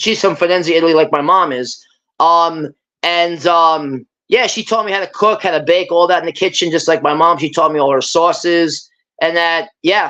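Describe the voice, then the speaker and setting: A fairly low-pitched woman with a New York accent at a moderate pace with ordinary pitch variation, against a quiet background. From US Northeast, Brooklyn, New York. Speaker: guest on a live stream. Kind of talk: casual chat.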